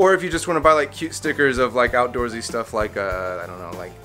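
A man at a very fast pace, with big swings in loudness and faint music in the background. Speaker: vlogger. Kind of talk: casual vlog chat. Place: street. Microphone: phone near.

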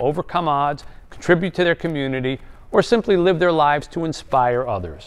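Faint music plays behind a man who talks at a fairly quick pace with a fairly high pitch and very wide pitch swings. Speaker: TV show host. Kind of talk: TV show intro. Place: studio.

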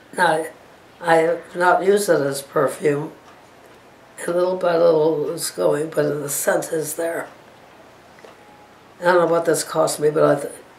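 Over light background noise and audible room echo, a woman speaks at a fairly low pitch. Her pace is fairly slow, with long, frequent pauses and a monotone, flat intonation. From Johnstown, Pennsylvania. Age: 80s+. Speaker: oral history interviewee. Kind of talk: oral history interview answer. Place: home room. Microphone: camera far.

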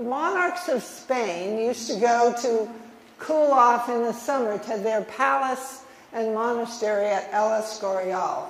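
With an American accent and audible room echo, a woman talks very slowly at a fairly high pitch. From Minnesota. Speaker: historian. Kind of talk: lecture. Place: hall. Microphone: podium.

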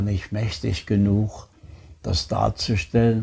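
A man's fairly low, somewhat breathy voice with a dark, mellow tone at a very slow pace. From Chemnitz, Saxony, Germany; Saxony, Germany. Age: 90s. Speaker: Holocaust survivor. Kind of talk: interview answer. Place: home room.

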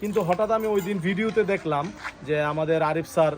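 There's noticeable background noise as a man speaks with ordinary pitch variation. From Bangladesh, Sarail, Brahmanbaria. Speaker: video blogger. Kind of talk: casual interview.

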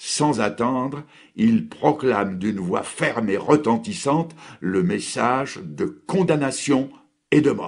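Here a man speaks in a solemn tone at a medium pitch, moving at a very slow pace with vocal fry. His pitch swings very widely against a quiet background. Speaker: preacher. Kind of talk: sermon on a biblical text, preached with solemn rhetorical questions and exhortation. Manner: formal; earnest, solemn and declamatory.

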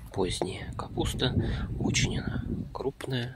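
The voice sounds dry with no echo, set against loud background noise. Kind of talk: casual vlog commentary. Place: garden. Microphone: phone near.

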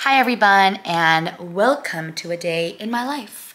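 A woman speaks with lively, bouncing intonation. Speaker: vlogger. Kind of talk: casual vlog chat. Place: home room. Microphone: phone near.

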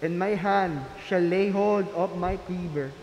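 A man speaks at a very slow pace amid light background noise, with audible room echo. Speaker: lector reading scripture and prayers. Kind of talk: reading aloud, scripture and intercessions. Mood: solemn and measured. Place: church. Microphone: podium.

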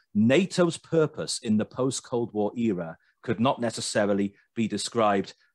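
In a British accent, a man speaks at a fairly low pitch with ordinary pitch variation. The sound is dry with no echo, and the background is quiet. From Britain. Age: 30s. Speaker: podcast host. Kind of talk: political discussion. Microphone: video call.

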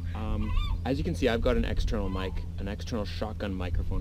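A man talks at a very fast pace. The sound is dry with no echo, and background noise is noticeable. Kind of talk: tutorial. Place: beach. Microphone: phone near.

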